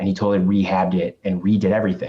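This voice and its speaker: This man talks very fast in a Chicago accent. His voice sits fairly low, with a dark, mellow tone. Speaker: real estate agent and investor. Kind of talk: podcast interview.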